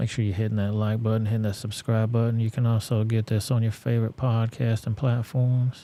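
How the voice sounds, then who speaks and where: A man with a Southern US accent speaks at a medium pitch in a dark, mellow tone, with very even loudness and hardly any pauses. The recording is very clean, with a silent background. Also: fairly quick pace. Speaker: live-stream news commentator. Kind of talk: live stream commentary. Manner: casual, animated.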